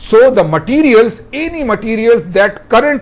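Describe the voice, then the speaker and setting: A man at high pitch, at a fairly slow pace. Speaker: professor. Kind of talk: lecture.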